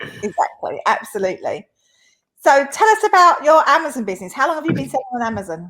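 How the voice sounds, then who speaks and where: Speaking at a very fast pace, a woman with an Essex accent uses a high pitch, very wide pitch swings and a bright, sharp, upbeat tone. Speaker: interviewer. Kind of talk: interview.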